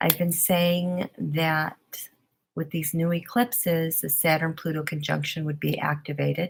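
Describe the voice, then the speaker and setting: Fairly slow and somewhat breathy, a woman speaks with an American accent. Her very deep, low pitch holds a fairly even intonation. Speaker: tarot reader. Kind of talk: casual monologue. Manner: halting, many fillers.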